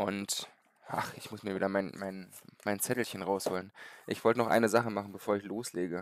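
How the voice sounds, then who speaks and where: In a quiet, dry recording with no echo, a man with a fairly low pitch speaks at a fairly quick pace in a monotone, flat intonation. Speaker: gaming streamer. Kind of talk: live gameplay commentary with chat. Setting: live stream from home. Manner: halting, many fillers. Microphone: headset.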